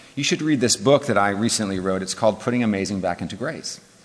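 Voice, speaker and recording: A man talks with an American accent and ordinary pitch variation. Noticeable background noise is present. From Northern California. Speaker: pastor. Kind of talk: lecture.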